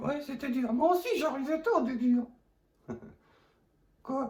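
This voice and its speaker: Fairly slow, high-pitched delivery in a put-on character voice. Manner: lip-still speech with P and B swapped for T.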